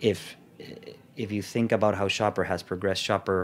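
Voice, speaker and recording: A man with a Salvadoran accent talks fairly quickly in a monotone, flat way. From El Salvador. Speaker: food company sales executive. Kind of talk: interview.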